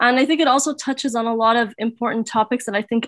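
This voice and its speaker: A woman with a normal speaking voice talks at a fairly high pitch with ordinary pitch variation, her sound dry with no echo against a quiet background. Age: 20s. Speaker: conference speaker. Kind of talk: personal talk to online audience. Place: home room. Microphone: webcam.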